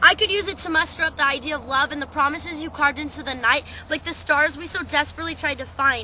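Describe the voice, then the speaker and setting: A woman's raised, projected voice at a very fast pace with hardly any pauses and fairly even intonation, over light background noise, with a dry sound and no echo. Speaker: poet. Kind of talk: spoken word slam poetry performance. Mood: wistful, emotional. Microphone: webcam.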